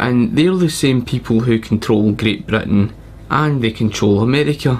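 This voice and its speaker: Noticeable background noise sits behind a man with a Scottish accent speaking at a fairly slow pace and medium pitch with ordinary pitch variation. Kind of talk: casual talk to camera.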